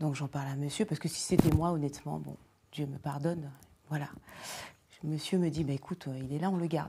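A woman's very deep, low voice, dark and mellow and somewhat breathy, at a fairly quick pace with fairly even intonation. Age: 40s. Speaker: leather goods designer; guest. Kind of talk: panel discussion. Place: studio.

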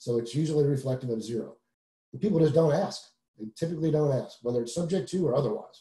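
A man's fairly high, somewhat breathy voice in an American accent, dark, mellow tone, very fast pace, quiet background and audible room echo. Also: ordinary pitch variation. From US South. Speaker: real estate investor; guest. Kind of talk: webinar presentation. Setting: video call. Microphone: video call.

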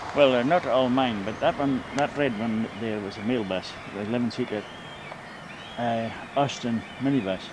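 Speaking at a moderate pace with a Scottish Highland accent, a man uses ordinary pitch variation and long, frequent pauses, his dry sound with no echo set against noticeable background noise. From Scottish Highlands. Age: 70s. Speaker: local elder recalling history. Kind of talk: interview answer. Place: waterside. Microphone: old recording.

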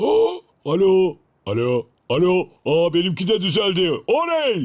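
A man's cartoonish character voice, high-pitched and fairly slow.

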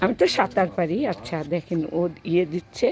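There is noticeable background noise as a woman talks in an animated tone. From Bangladesh, Gaibandha. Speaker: vlogger. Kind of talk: casual vlog chat. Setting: outdoors by a pond.

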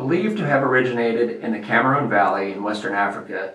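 A man talks at a fairly quick pace, and audible echo fills the room. The background is otherwise quiet. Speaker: farm channel host. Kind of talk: educational presentation.

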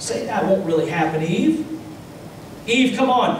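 A man with an American accent at a moderate pace, plus light background noise and audible room echo. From United States, Kentucky. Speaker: Baptist pastor. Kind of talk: sermon preaching to a congregation. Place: church.

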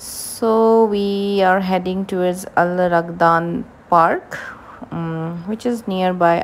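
A woman's fairly low voice, fairly slow and with ordinary pitch variation, over light background noise. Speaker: travel vlogger. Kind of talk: casual vlog narration.

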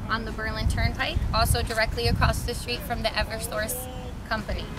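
A woman speaks fairly quickly, the sound dry with no echo, while loud background noise continues. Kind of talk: promotional tour talk. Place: street. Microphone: camera far.

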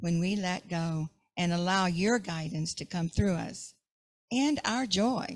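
Playful and somewhat breathy, a woman speaks fairly slowly at a medium pitch with ordinary pitch variation against a quiet background. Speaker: prayer leader. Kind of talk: affirmative prayer, gently guided, fervent and devotional. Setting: church service. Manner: warm, slow and soothing, with a calm meditative cadence; briefly playful, laughs at herself mid-prayer. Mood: calm, reverent. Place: church. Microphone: handheld.

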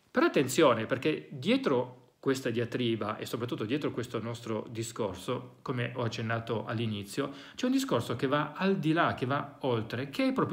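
Somewhat breathy, a man speaks at a moderate pace with very wide pitch swings over a quiet background. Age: 40s. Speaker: psychologist and educator; educator. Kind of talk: educational monologue. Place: home room.

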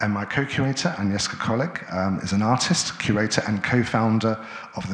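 A man talks at a fairly quick pace in a fairly low pitch with ordinary pitch variation. Audible room echo surrounds his voice. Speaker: event moderator and curator. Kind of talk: panel discussion moderation. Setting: stage with live audience. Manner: halting, many filler sounds. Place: hall. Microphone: handheld.

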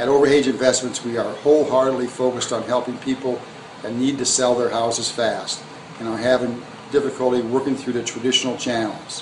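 A man's fairly quick, monotone, flat delivery in an American accent, over noticeable background noise. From US Midwest (Hammond, Indiana); Indiana. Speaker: real estate investor. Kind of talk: scripted promotional self-introduction. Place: home room. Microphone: phone near.

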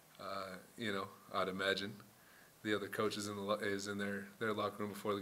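A man talks in a fairly low pitch with a bright, sharp tone over light background noise. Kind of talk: interview answer. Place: meeting room. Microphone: podium.

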